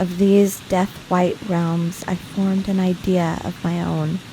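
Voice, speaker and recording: A woman speaks very slowly in a calm, relaxed tone with flat, monotone intonation. Noticeable background noise sits under her voice. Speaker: audiobook narrator. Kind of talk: audiobook reading of classic novel.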